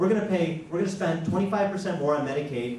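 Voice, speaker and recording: A man speaks at a high pitch with ordinary pitch variation and a fairly quick pace. Room echo is audible, and there is light background noise. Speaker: candidate. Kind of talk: forum speech. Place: hall.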